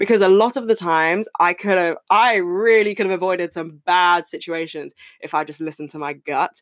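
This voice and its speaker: In a British accent, a woman speaks with an animated tone at a medium pitch, with ordinary pitch variation, big swings in loudness and hardly any pauses, in a very clean recording with a silent background. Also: fairly quick pace. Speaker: podcast host. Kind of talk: casual solo chat. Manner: fast.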